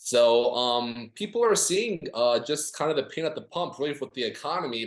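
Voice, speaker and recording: This man has an ordinary speaking voice with a fairly high pitch. He moves at a moderate pace with lively intonation. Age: 20s. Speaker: political campaign strategist. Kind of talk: podcast interview. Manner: many filler words (um, uh).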